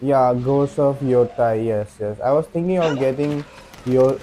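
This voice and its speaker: A man with a non-native accent speaks at a medium pitch and a fairly slow pace. His intonation is fairly even, over noticeable background noise. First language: not English. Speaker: video game streamer. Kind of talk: casual live-stream chat. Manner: halting.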